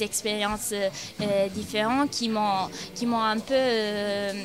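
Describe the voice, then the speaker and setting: Against noticeable background noise, a woman with an Italian accent talks at a very slow pace in a fairly high pitch with monotone, flat intonation. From Italy, Milan. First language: Italian (speaking French). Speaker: university exchange student. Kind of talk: interview testimony. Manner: halting, many hesitations.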